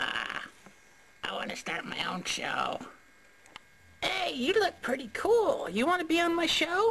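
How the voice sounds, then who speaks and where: An extremely high-pitched cartoonish character voice at a fairly slow pace, broken by long, frequent pauses. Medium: puppet show. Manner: eager, pleading, playful.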